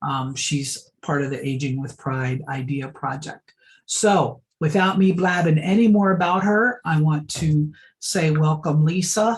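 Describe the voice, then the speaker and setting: A woman's very deep, low, somewhat breathy voice with lively intonation, at a fairly slow pace. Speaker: event facilitator. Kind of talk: online event introduction. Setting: video call.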